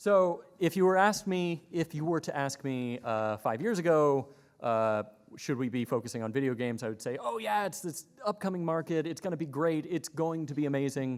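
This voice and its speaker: A man's fairly high voice at a moderate pace with lively intonation. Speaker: conference panelist, innovation specialist. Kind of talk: conference presentation.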